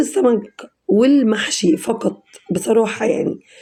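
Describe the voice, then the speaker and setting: Pitch varies in an ordinary way within a dark, mellow tone. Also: woman. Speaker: cooking channel host. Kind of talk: cooking tutorial. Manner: casual, chatty.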